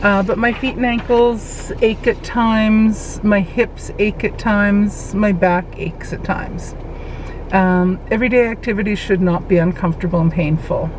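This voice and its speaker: Noticeable background noise sits behind a woman at medium pitch. She talks at a moderate pace with fairly even intonation. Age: 60s. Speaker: weight loss vlogger. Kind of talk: personal vlog monologue. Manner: halting, with fillers and self-repeats.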